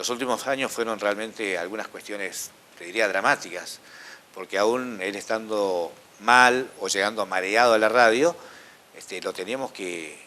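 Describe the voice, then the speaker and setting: An unremarkable speaking voice from a man, fairly low in pitch with ordinary pitch variation, at a moderate pace and with big swings in loudness. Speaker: radio announcer and host. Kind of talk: interview answer.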